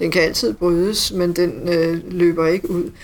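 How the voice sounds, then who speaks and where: A woman speaks in a plain, everyday voice at medium pitch and a fairly slow pace. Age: 50s. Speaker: hospital IT manager, former nurse. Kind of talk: interview.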